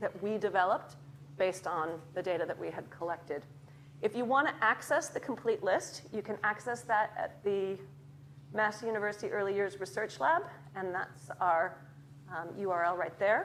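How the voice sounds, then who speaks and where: In an ordinary speaking voice, a woman with an American accent talks at a moderate pace with lively intonation. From Chicago, US. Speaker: academic researcher in early childhood education. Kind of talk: lecture. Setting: lecture theatre with audience.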